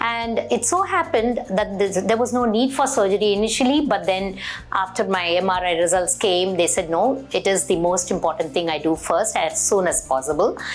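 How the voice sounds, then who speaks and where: Over music in the background, a woman with a medium pitch speaks with lively intonation and hardly any pauses. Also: moderate pace, very even loudness. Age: 60s. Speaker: patient. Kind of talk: testimony. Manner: hesitant, with fillers.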